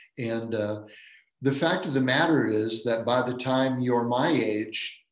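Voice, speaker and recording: A man speaks very slowly in an American accent, his pitch sitting in the medium range. There is audible echo from the room. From Maine, Washington County. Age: 70s. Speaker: professor of philosophy and religion. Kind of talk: dharma lecture.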